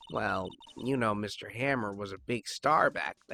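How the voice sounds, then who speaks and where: A man puts on a raspy character voice at medium pitch with ordinary pitch variation. He goes at a moderate pace, and the sound is dry and close with no echo. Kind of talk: game character impression. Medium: game stream. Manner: confiding, gossipy.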